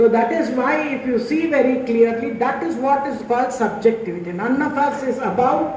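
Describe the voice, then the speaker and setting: This woman has a high voice and a Telugu accent, speaking at a moderate pace. The room echo is audible and the background noise is noticeable. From India, Tamil Nadu. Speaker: university vice chancellor, professor. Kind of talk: inaugural lecture to students.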